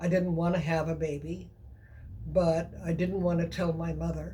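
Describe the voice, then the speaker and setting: Audible room echo surrounds a woman's fairly low, somewhat breathy voice as she talks at a fairly slow pace. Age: 70s. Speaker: woman sharing personal abortion story. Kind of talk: personal testimony.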